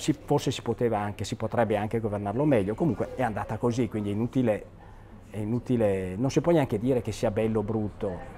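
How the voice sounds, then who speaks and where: Over light background noise, a man with a dark, mellow tone speaks at a fairly quick pace. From Vicenza, Veneto, northern Italy; Veneto, Italy. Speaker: architect; interviewee. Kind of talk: interview commenting on photos. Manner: halting, many repetitions and fillers. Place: home room.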